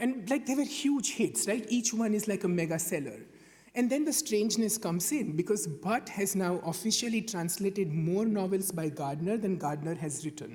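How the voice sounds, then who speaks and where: The speaker has a Gujarati accent and talks at a moderate pace. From India, Gujarat. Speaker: conference panelist. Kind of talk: conference talk. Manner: hesitant, with filler words and repetitions.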